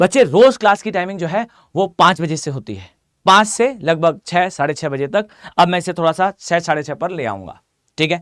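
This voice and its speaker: In a hoarse, put-on character voice, a man speaks at a high pitch and a very fast pace with lively intonation, in a dry, close sound with no echo on a very clean recording with a silent background. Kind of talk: teacher talking to students.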